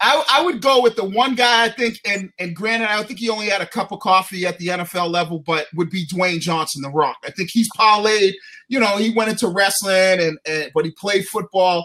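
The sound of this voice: Bright and sharp in tone, a man's high-pitched voice moves at a fairly quick pace with ordinary pitch variation.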